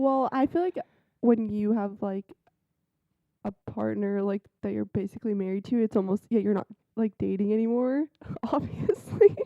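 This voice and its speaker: The speaker is soft-spoken, keeping a moderate pace broken by long, frequent pauses. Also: woman, medium pitch for a woman, ordinary pitch variation. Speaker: podcast co-host. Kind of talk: casual chat. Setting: home. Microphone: recorded quieter, volume turned up in editing.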